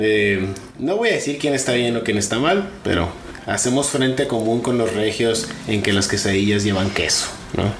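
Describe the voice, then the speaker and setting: A man with a northern Mexican accent speaks at a moderate pace and medium pitch, with ordinary pitch variation and very even loudness. Audible room echo and noticeable background noise are present. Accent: northern Mexican (Sonoran) Spanish. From Mexico, Sonora. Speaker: podcast co-host. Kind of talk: casual chat. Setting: home.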